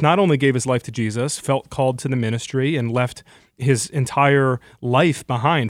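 On a very clean recording with a silent background, a man with an American accent speaks in a normal speaking voice at a medium pitch, moderate pace and ordinary pitch variation. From Michigan, US (Brighton). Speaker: journalist and author. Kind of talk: radio interview.

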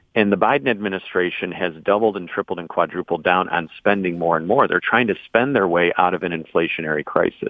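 This speaker has an American accent and talks at a very fast pace with hardly any pauses. The pitch variation is ordinary. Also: man, very deep, low pitch for a man. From mid Michigan. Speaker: state senator and congressional candidate. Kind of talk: political interview.

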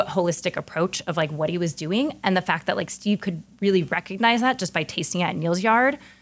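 A woman with an American accent speaks in a normal speaking voice at medium pitch with lively intonation. Her pace is moderate with hardly any pauses, on a very clean recording with a silent background. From US West Coast, San Francisco. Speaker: chef and restaurant owner. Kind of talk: casual interview conversation.

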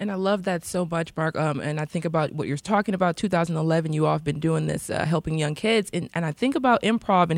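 This woman has an unremarkable speaking voice at a fairly low pitch. She talks at a fairly quick pace. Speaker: radio host. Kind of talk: radio interview and hosting. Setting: studio.

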